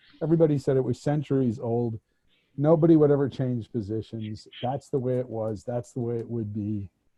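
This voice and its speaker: Speaking fairly quickly with an American accent, the man keeps a medium pitch and ordinary pitch variation. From United States. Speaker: former diplomat. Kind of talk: panel discussion. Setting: video call. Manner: halting.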